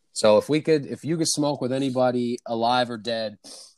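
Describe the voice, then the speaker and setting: In a plain, everyday voice, a man with an American accent talks at medium pitch with lively intonation. The recording is very clean with a silent background, and the sound is dry and close with no echo. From New York City. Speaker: podcast guest. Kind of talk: casual chat.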